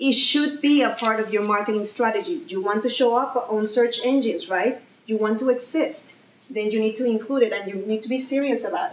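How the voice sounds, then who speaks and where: Over noticeable background noise, a woman with a fairly high pitch talks at a fairly quick pace with ordinary pitch variation. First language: Spanish. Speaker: social media marketing speaker. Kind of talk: presentation. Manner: animated, conversational.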